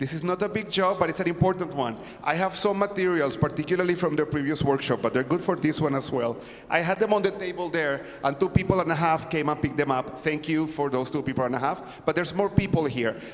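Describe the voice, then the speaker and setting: A man's fairly high voice at a very fast pace, over noticeable background noise. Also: ordinary pitch variation. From California. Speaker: conference workshop presenter. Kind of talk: lecture. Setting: church conference workshop with audience.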